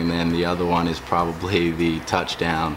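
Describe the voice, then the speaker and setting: Over noticeable background noise and audible room echo, a man speaks at a moderate pace in a very deep, low, monotone voice with flat intonation. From Australia. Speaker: professional football player. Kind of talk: interview. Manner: hesitant, many fillers.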